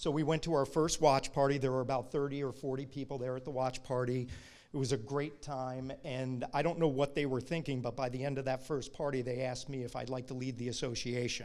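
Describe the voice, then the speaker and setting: A man speaks with an American accent at medium pitch. His intonation is flat and monotone. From Brooklyn, New York. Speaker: alumni chapter president. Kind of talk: award acceptance speech. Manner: fast.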